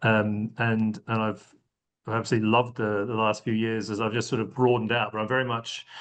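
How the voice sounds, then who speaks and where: A man with a slight Australian accent and medium pitch, talking at a very fast pace. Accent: slight Australian twang. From Australia, rural Victoria. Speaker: sustainability consulting executive. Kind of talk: podcast interview. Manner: hesitant with fillers.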